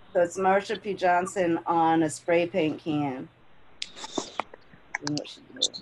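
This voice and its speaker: A woman's fairly low voice at a fairly slow pace, with long, frequent pauses, big swings in loudness, ordinary pitch variation and noticeable background noise. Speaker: community conversation host. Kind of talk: casual chat.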